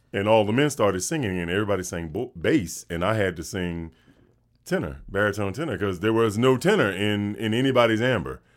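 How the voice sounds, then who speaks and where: With a Southern US accent, a man talks at a fairly quick pace in a fairly low voice with lively intonation. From North Carolina. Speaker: actor and voice actor. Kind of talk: casual chat. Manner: fast.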